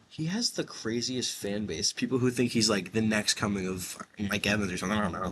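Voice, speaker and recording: With hardly any pauses, a man with a plain, everyday voice talks at a fairly quick pace in a fairly low pitch, using ordinary pitch variation. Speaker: sports video host. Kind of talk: casual chat.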